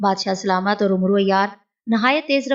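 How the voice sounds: A natural reading voice with ordinary pitch variation and a quiet background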